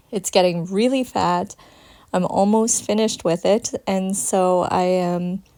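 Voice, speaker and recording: A woman's medium-pitched voice with a dark, mellow tone at a very slow pace. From Canada. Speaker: crafter vlogger. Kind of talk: craft tutorial voiceover. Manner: casual.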